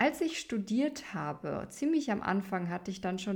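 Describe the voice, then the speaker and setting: At a fairly slow pace, a woman with a medium pitch speaks in a somewhat breathy voice with very wide pitch swings. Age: 30s. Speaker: opera singer and podcast host. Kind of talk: solo podcast monologue.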